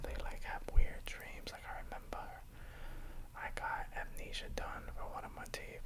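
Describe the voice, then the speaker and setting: A man is whispering at a moderate pace over noticeable background noise. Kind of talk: ASMR whisper ramble. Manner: whispered.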